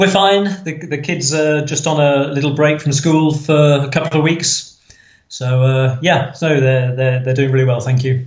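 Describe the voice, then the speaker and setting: A man with an English accent talks at a moderate pace, his voice fairly high in pitch and somewhat breathy. His intonation stays fairly even. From England, Nottinghamshire. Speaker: podcast guest, cruise fan. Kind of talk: casual interview chat.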